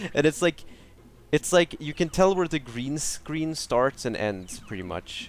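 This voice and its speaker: This man has a fairly high pitch and a Swedish accent, with very wide pitch swings. The sound is dry and close, with no echo. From Sweden. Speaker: gaming streamer. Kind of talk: live gameplay commentary. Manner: casual, halting with many restarts; animated.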